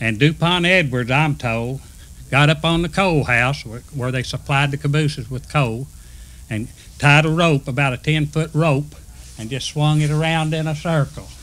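Speaking in a Southern US accent, a man has a fairly high pitch, fairly even intonation and a moderate pace. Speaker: retired railroad worker. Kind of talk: oral history storytelling.

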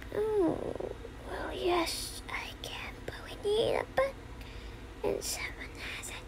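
A put-on character voice whispering at a fairly slow pace over loud background noise. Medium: solo performance. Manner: measured, cryptic.

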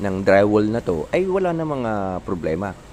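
A man talks at a moderate pace with a medium pitch. Noticeable background noise runs behind him. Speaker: YouTube painting tutorial creator. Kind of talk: tutorial. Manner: hesitant, many fillers; casual, informal.

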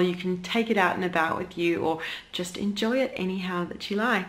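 Her pitch shifts in an ordinary way as a woman talks at a moderate pace. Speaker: food blogger. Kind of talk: casual vlog chat. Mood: cheerful, upbeat. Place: home room. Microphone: phone near.

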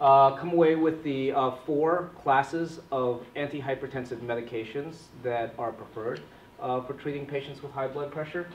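A man at a moderate pace with fairly even intonation, light background noise and audible room echo. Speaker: physician trainer. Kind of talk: lecture. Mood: light, self-deprecating humor. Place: classroom. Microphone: camera far.

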